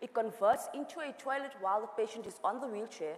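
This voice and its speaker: A woman talks fairly quickly, her intonation lively, while noticeable background noise carries on behind her. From South Africa. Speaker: entrepreneur, founder. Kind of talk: panel discussion.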